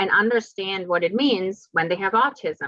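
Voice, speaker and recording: A woman of medium pitch speaks with ordinary pitch variation. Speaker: lecturer on healthcare transition. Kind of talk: lecture. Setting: video call. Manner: loud.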